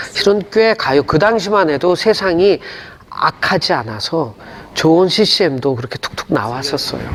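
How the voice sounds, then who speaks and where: A man with a high pitch swings his pitch very widely. He keeps a moderate pace over noticeable background noise. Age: 60s. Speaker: gospel singer and pastor. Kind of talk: interview. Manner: casual conversational.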